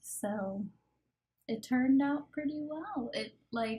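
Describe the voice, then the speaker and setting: This woman talks at a very slow pace in a dark, mellow tone. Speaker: gaming YouTuber. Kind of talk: voice-over commentary on a speed build. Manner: loud.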